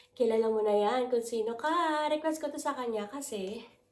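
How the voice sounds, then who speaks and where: A woman with a high pitch talks at a moderate pace using lively intonation, and audible room echo surrounds her voice. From Philippines. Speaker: lifestyle vlogger. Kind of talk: haul unboxing vlog.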